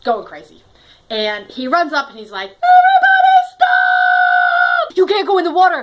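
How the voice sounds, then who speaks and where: An American-accented woman speaks in an animated tone at an extremely high pitch, with very wide pitch swings and big swings in loudness. Her pace is moderate, and noticeable background noise is present. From US Northeast, Connecticut. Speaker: storytelling vlogger. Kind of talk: personal storytelling monologue.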